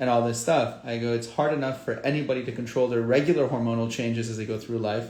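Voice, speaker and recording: A man talks at a very fast pace with hardly any pauses and a medium pitch. His intonation is fairly even, and there is noticeable background noise. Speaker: facial plastic surgeon. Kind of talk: casual livestream talk. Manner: casual, conversational.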